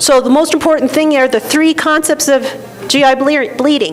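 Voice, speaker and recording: Through noticeable background noise, a woman with a high pitch speaks at a moderate pace. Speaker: gastroenterologist, conference speaker. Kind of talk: lecture.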